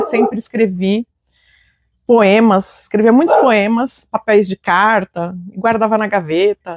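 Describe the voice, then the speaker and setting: Heard dry and close with no echo, a woman with a fairly high pitch speaks at a fairly slow pace in an unremarkable speaking voice with ordinary pitch variation. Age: 40s. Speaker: writer and literature teacher. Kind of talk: interview testimony.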